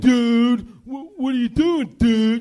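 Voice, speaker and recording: A man's put-on character voice, extremely high in pitch, with fairly even intonation. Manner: confrontational, aggressive.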